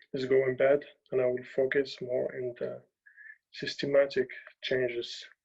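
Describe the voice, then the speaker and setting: Somewhat breathy and dark, mellow in tone, a man speaks fairly slowly with monotone, flat intonation. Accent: non-native. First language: not English. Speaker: journalist. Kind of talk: talk. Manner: halting.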